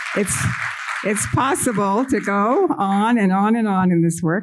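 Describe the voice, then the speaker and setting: Ordinary pitch variation comes through audible room echo, with music in the background. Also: woman. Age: 70s. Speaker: conference presenter, trauma therapist and researcher. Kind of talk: conference presentation. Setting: conference room with audience, using a microphone.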